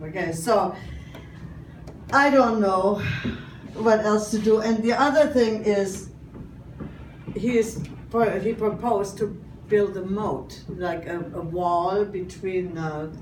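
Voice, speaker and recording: A woman with a German accent at a very slow pace, with long, frequent pauses, noticeable background noise and audible room echo. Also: medium pitch for a woman, ordinary pitch variation. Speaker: comedian. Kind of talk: stand-up.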